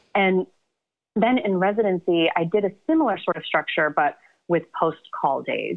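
With lively intonation, an ordinary speaking voice moves at a moderate pace in an American accent. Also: woman, medium pitch for a woman. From US South, Atlanta. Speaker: psychiatrist and novelist. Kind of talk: interview.

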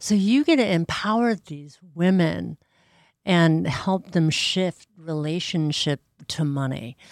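In a plain, everyday voice, a woman speaks with a fairly low pitch and lively intonation. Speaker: podcast host. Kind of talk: interview.

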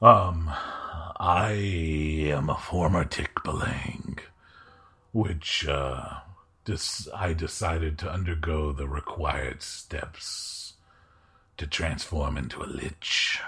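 A man puts on a character voice with a very deep, low pitch, talking at a very slow pace with long, frequent pauses. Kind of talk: archaic formal speech. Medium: actual play. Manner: slow, formal, courteous.

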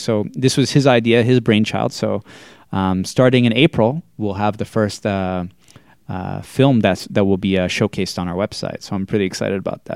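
A man with a Boston accent and a fairly low pitch talks at a moderate pace with ordinary pitch variation on a very clean recording with a silent background. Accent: American (Boston area). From Massachusetts, US. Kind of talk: casual chat.

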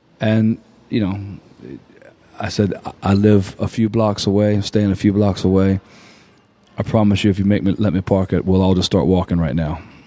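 A man with an American accent speaks at a fairly low pitch with fairly even intonation. He leaves long, frequent pauses. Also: moderate pace. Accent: south Louisiana Cajun-tinged Southern US. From southwest Louisiana, Lafayette. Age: 40s. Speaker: musician. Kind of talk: casual chat. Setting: studio.

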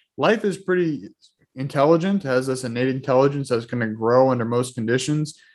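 With an American accent, a man speaks at a fairly quick pace. His medium pitch shows ordinary variation. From Boston area, Massachusetts. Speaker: holistic lifestyle coach. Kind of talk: casual interview chat.

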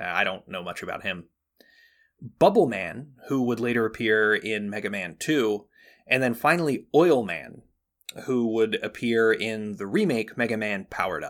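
On a very clean recording with a silent background, a man at medium pitch speaks in a plain, everyday voice at a moderate pace with ordinary pitch variation. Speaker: podcast host. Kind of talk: casual chat.

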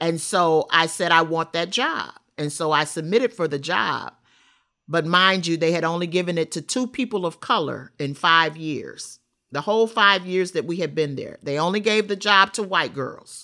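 Recorded very cleanly against a silent background, a woman with an American accent speaks in a bright, sharp tone at a fairly low pitch. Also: ordinary pitch variation, moderate pace. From Rockford, Illinois. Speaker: formerly incarcerated advocate. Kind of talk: interview testimony.

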